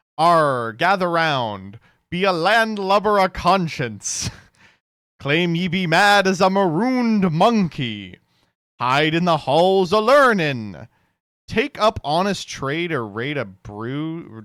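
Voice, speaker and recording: On a very clean recording with a silent background, a man uses a put-on character voice with a high pitch at a fairly slow pace. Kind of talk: pirate slang.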